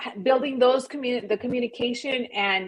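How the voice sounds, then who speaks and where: A woman talks at a fairly quick pace in a normal speaking voice. Her pitch is fairly high, and her intonation is fairly even. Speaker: real estate agent. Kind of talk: podcast interview. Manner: direct, confident.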